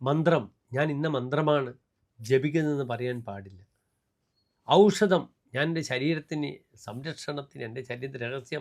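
Fairly high in pitch, a man uses an ordinary speaking voice with ordinary pitch variation. His loudness swings widely. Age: 60s. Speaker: astrologer. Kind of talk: horoscope forecast monologue. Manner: formal.

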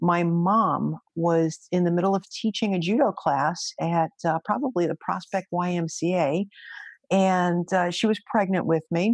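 A woman's fairly low voice in a New York accent, fairly slow and very even in loudness, dry with no echo over a quiet background. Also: ordinary pitch variation. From New York, Brooklyn. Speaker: federal agent and judo instructor; judo instructor. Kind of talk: interview conversation. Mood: warm, smiling, animated. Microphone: webcam.

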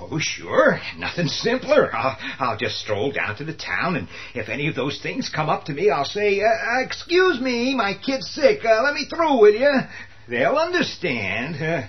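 Putting on a whiny character voice, a man speaks high and fairly slowly. Background noise is clearly present. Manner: whining, sarcastic, panicky.

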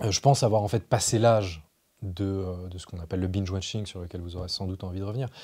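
Against a quiet background, a man with a very deep, low pitch and a dark, mellow, somewhat breathy tone talks very fast with fairly even intonation. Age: 30s. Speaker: journalist and essayist; journalist, interviewee. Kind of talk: interview. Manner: hesitant, many fillers and repetitions. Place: studio.

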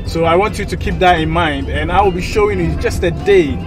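The speech moves at a moderate pace over clear background music. The sound is dry, with no echo. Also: man. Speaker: travel vlogger. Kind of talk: casual vlog chat. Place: car.

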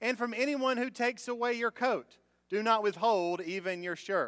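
A moderate pace and ordinary pitch variation over a quiet background. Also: man. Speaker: pastor. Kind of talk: sermon scripture reading. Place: church. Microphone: podium.

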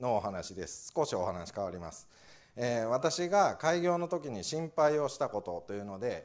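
A man speaks at a moderate pace and medium pitch, his pitch swinging very widely and his loudness rising and falling sharply, against a quiet background. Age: 40s. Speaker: administrative scrivener; guest lecturer. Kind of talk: talk to audience. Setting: lecture hall with audience. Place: classroom.

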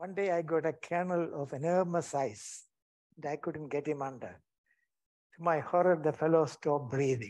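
A man's fairly high voice with an Indian accent, against a quiet background. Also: ordinary pitch variation, moderate pace. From India, Kerala. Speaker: retired anaesthetist. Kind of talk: lecture. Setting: stage with audience. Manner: halting.

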